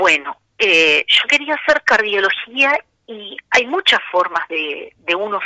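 Very slow, medium-pitched speech from a woman, full of very wide pitch swings. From Argentina. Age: 50s. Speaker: cardiologist. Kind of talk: radio interview. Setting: phone call.

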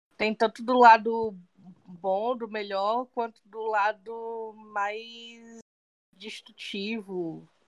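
A woman's fairly high voice, very slow and monotone, with big swings in loudness and a dry, close sound with no echo. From Fortaleza, Brazil. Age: 30s. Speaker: podcast co-host, sales assistant. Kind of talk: casual chat.

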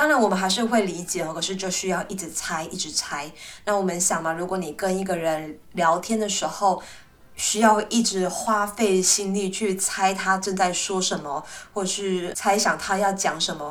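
A woman's medium-pitched voice at a moderate pace, fairly even in intonation, with audible room echo and noticeable background noise. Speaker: Chinese language teacher. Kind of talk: language lesson monologue.

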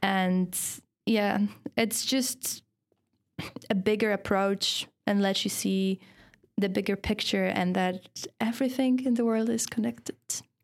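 A woman with a Polish accent at a fairly slow pace, medium pitch and ordinary pitch variation, long, frequent pauses, very even loudness, very clean recording, silent background. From Poland. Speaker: university student and feminist. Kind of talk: casual interview chat.

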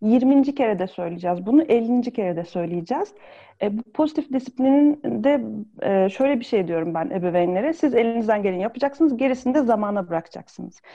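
A woman's voice, fairly high in pitch with lively intonation, a normal speaking voice. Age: 30s. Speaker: pediatrician and parenting consultant. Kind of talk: expert interview.

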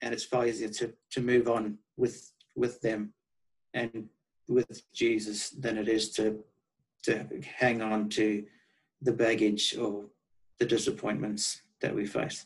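A man with a South African accent talks at a very slow pace with long, frequent pauses. His medium-pitched voice has fairly even intonation. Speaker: guest. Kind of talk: casual interview chat.

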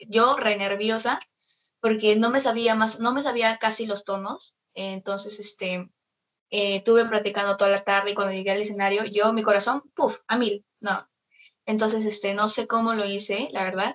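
A woman speaks at a fairly high pitch and a moderate pace. Her intonation is monotone and flat. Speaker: singer and celebrity impersonator. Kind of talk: interview.

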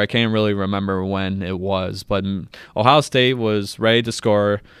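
A man's fairly low voice with an American accent on a very clean recording with a silent background. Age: 20s. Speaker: sports podcast host. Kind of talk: casual sports talk monologue. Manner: animated.

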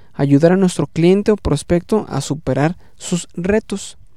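A man's high pitch and dark, mellow tone, with ordinary pitch variation at a very slow pace. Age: 30s. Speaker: podcast host, management consultant. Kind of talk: solo educational podcast. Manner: halting, many fillers and repetitions.

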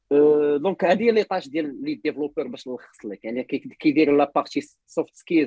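An unremarkable speaking voice, a man pitched fairly high with ordinary pitch variation. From Morocco. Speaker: software developer. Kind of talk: casual interview. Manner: frequent code-switching Arabic and French.

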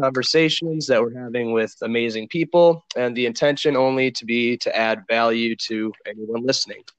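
A man with an American accent and an ordinary speaking voice, at a moderate pace with fairly even intonation and hardly any pauses. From Minnesota. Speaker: podcast host. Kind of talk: casual interview chat.

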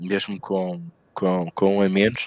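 A man with a European Portuguese accent is heard in a dry, close sound with no echo. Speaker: sports betting podcast host. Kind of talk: casual chat.

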